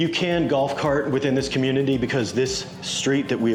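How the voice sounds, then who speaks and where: There is noticeable background noise and audible room echo. A man talks with ordinary pitch variation. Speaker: real estate agent. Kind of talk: property tour walkthrough. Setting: walking through a house at an open house. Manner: animated.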